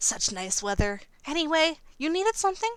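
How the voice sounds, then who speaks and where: A woman's put-on, squeaky character voice at an extremely high pitch, with very wide pitch swings and a fairly quick pace. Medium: game stream. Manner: soft-spoken, polite.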